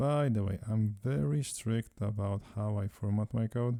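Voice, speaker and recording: A man's dark, mellow, fairly low voice with a non-native accent and ordinary pitch variation, on a very clean recording with a silent background. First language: not English. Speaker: software company CEO doing coding tutorial. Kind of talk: screen-recorded coding tutorial.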